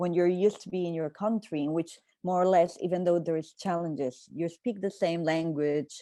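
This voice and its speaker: Over a quiet background, a woman with a Spanish accent speaks in a fairly low, dark and mellow voice with ordinary pitch variation. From Colombia. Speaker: panelist. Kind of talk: panel discussion.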